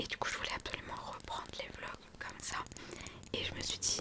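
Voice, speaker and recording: Noticeable noise fills the background. Over it, a woman whispers. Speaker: ASMR content creator. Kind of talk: ASMR chit chat while doing makeup. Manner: whispered, soft.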